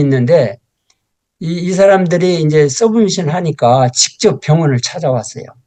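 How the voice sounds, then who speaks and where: Fairly slow and lively in intonation, a man speaks with a fairly high pitch. His tone is dark and mellow. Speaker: professor. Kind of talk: lecture. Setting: lecture hall with audience. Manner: halting.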